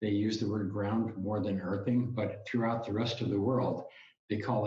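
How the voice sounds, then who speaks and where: A man with a fairly low pitch sounds somewhat breathy, with audible room echo around his voice. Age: 70s. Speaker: health author and retired cable industry worker. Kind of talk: interview. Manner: halting, many fillers and restarts.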